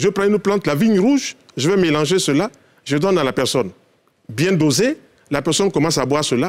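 Speaking very fast yet with long, frequent pauses, a high-pitched man uses lively intonation. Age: 60s. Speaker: naturopath; guest. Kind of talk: TV talk show discussion. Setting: TV studio. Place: studio. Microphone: lapel.

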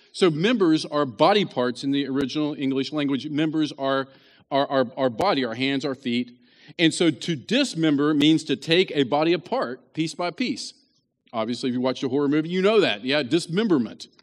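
A man speaks with an American accent in a fairly high pitch. His pace is moderate, his pitch variation ordinary, and the background quiet. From West Virginia. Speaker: pastor. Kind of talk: sermon.

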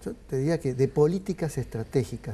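Dark and mellow in tone, a man speaks somewhat breathily at a moderate pace. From Argentina. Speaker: sociologist; guest. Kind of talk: interview. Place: studio. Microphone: lapel.

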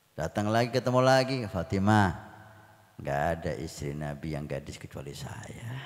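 Against a quiet background, a man speaks at a fairly slow pace. His pitch swings very widely and his loudness shifts a great deal. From Indonesia. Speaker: village Islamic preacher. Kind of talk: sermon. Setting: religious assembly with audience. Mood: warm, smiling. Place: hall. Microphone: handheld.

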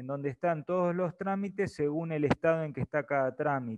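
This man has an ordinary speaking voice, fairly high in pitch, with ordinary pitch variation and a moderate pace. The background is quiet. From Argentina. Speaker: presenter explaining online registration procedure; presenter. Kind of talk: webinar tutorial. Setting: video call webinar. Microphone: earbuds.

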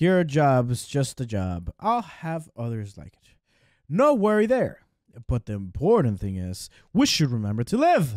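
Using a put-on character voice, a man speaks in a raised, projected, shaky voice at a fairly slow pace with very wide pitch swings. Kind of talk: reading game text aloud in let's play commentary. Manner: bad, shaky accent.

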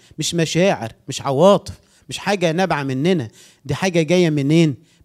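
Moderately paced speech in an Egyptian accent over a quiet background. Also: man. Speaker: pastor. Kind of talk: sermon. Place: church.

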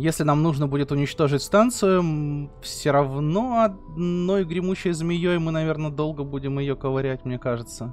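A man's fairly high voice at a moderate pace with few pauses, faint music in the background. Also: ordinary pitch variation.

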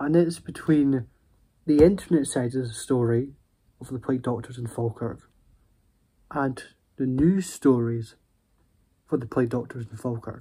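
Over a quiet background, a man with a dark, mellow tone speaks at a moderate pace, leaving long, frequent pauses. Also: ordinary pitch variation. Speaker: vlogger. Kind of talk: casual vlog storytelling. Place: home room. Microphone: phone near.

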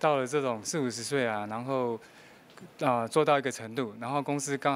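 The speech moves at a fairly quick pace with fairly even intonation. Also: man. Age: 50s. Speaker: working father, former electronics manager; interviewee. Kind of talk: news interview; interview answer. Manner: halting, many filler sounds. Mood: earnest, reflective about hardship. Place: meeting room. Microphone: handheld.

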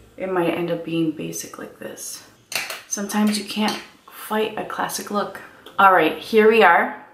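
Here a woman speaks with fairly even intonation. Noticeable background noise runs underneath. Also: moderate pace. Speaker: beauty vlogger. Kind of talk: casual makeup tutorial chat. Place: home room.

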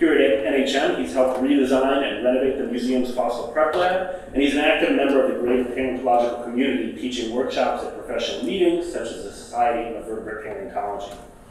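Through strong room echo and light background noise, a man speaks very fast with ordinary pitch variation. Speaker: event host. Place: hall.

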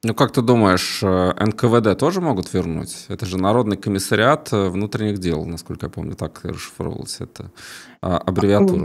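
Speaking at a moderate pace, a man has a fairly low pitch and ordinary pitch variation. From Latvia, Riga; Latvia. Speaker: YouTube news host. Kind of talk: casual interview. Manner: halting, many fillers. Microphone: studio mic.

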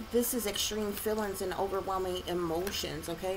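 A woman speaks over noticeable background noise. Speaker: tarot reader. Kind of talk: tarot reading monologue. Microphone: phone near.

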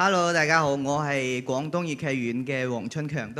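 Ordinary pitch variation from a man talking at a moderate speed. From Leizhou, western Guangdong; Guangdong. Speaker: Cantonese opera performer. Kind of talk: short tribute speech. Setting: stage with audience. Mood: warm, grateful. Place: stage. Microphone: handheld.

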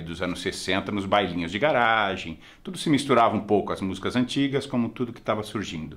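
With ordinary pitch variation, a man whose pitch is fairly low talks at a moderate pace. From Brazil. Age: 50s. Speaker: film critic; film reviewer. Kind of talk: casual film review monologue. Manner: conversational, informal.

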